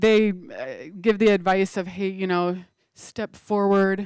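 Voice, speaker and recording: Speaking fairly slowly in a flat monotone, a woman keeps to a medium pitch. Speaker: confidence coach, keynote speaker. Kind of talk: conference workshop talk. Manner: loud, projecting voice.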